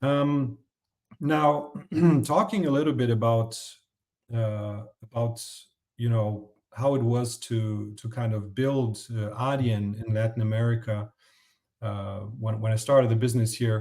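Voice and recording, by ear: At a fairly slow pace, a man talks in a medium pitch with a slightly mellow tone. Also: fairly even intonation.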